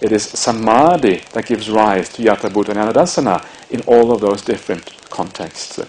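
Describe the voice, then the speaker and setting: A man with a Norwegian accent talks at a moderate pace in a medium pitch with ordinary pitch variation, noticeable background noise behind him. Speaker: Buddhist monk and meditation teacher. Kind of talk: dharma talk. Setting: meditation retreat. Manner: halting, many fillers.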